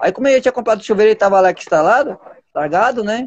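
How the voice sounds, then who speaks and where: A man talks with a high-pitched voice. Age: 30s. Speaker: activist and political candidate. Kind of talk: casual chat.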